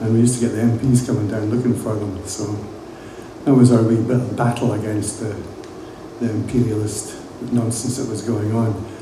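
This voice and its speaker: Flat, monotone intonation comes at a fairly quick pace with long, frequent pauses, set against noticeable background noise and audible room echo. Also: man, medium pitch for a man. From Scotland, Edinburgh. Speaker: music industry veteran. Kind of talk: talk to students. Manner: casual, hesitant with fillers.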